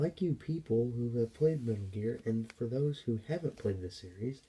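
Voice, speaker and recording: Somewhat breathy speech from a man, dark and mellow in tone. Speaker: gaming YouTuber. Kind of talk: game commentary vlog. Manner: hesitant with fillers; whispering.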